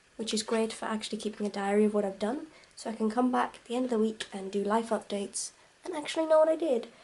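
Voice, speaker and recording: Amid noticeable background noise, a woman talks very fast in a fairly high pitch with lively intonation. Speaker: vlogger. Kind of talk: vlog. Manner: quiet.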